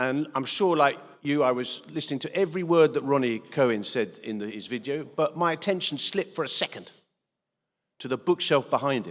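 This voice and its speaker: A man with a British accent speaks at a moderate pace and medium pitch, with very wide pitch swings. The recording is very clean, with a silent background. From England. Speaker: politician. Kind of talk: keynote speech. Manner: hesitant, many fillers.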